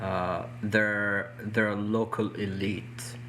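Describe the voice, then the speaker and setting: A man with a non-native accent speaks at a fairly low pitch, with audible room echo. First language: not English. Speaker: activist. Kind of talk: interview discussion. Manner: halting, with restarts.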